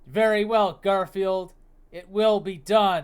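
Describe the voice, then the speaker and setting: Putting on a character voice, a man talks at a high pitch and a fairly slow pace with fairly even intonation. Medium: read story. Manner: grave, pompous.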